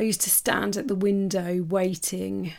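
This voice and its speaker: A woman speaks in an English accent with a warm tone. The recording is very clean, with a silent background. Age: 40s. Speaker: podcast host and life coach. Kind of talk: personal storytelling monologue. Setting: home office. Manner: warm, casual.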